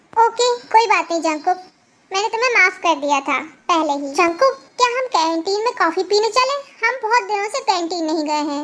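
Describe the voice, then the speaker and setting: This female-sounding voice is a put-on character voice pitched extremely high. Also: moderate pace. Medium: read story.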